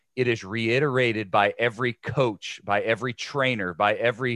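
Over a quiet background, a man with a Midwestern American accent talks at medium pitch with fairly even intonation. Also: dry, close sound with no echo. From Ohio. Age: 40s. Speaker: former pro football player and sports broadcaster. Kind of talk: casual interview.

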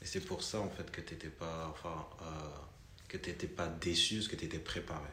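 Monotone, flat delivery at a moderate pace. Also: man, very deep, low pitch for a man. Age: 30s. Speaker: podcast host. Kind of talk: casual chat.

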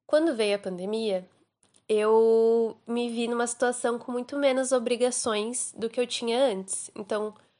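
A woman's fairly high voice, a normal speaking voice, at a fairly slow pace over a quiet background. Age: 20s. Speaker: recent graduate, friend of host. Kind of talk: recorded voice message testimony. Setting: recorded voice message.

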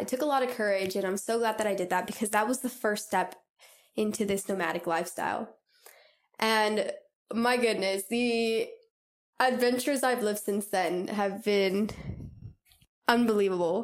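With a Californian accent, a woman speaks at a moderate pace and a fairly high pitch, with fairly even intonation and long, frequent pauses, on a very clean recording with a silent background. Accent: Californian American. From Southern California. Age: 20s. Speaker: travel podcaster. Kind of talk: solo podcast monologue. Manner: casual, many fillers and laughs.

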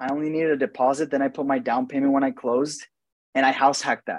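Over a quiet background, a man talks at a very fast pace in a dry, close sound with no echo. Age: 20s. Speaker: real estate agent and investor. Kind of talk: casual chat.

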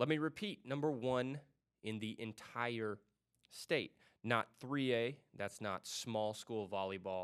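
At a very slow pace, a man with a medium pitch speaks with ordinary pitch variation. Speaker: school sports podcast host. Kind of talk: solo podcast recap. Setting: studio.

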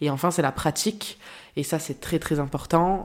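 The pace is fairly slow. It is a very clean recording with a silent background. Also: woman. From France, Marseille. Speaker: association public relations director. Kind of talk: interview. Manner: hesitant, frequent repetitions.

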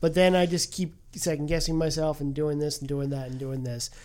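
A man talks with an American accent at a fairly quick pace. His pitch varies in an ordinary way. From US, southeastern Pennsylvania. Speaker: film podcast co-host. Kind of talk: casual chat. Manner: halting.

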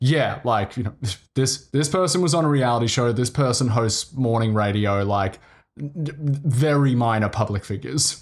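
Somewhat breathy, the voice moves at a moderate pace with very even loudness and ordinary pitch variation. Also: man, medium pitch for a man. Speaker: podcaster. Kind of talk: casual chat.

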